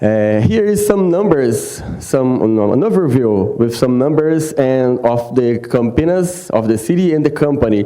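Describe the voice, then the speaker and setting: A man with a Brazilian Portuguese accent talks fairly slowly with lively intonation, amid noticeable background noise and audible room echo. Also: medium pitch for a man, very even loudness. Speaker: water quality specialist. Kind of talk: conference presentation. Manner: halting, many fillers.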